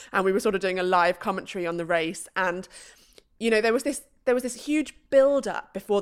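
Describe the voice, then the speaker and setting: In a very clean recording with a silent background, the speaker talks in an English accent at a fairly quick pace with lively intonation. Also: woman. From UK. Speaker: professional cyclist. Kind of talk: casual chat.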